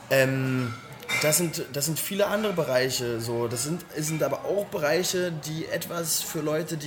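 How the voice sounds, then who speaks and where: A man talks in a fairly high voice with ordinary pitch variation. Music plays in the background. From Berlin (Weißensee). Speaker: local political candidate. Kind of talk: interview.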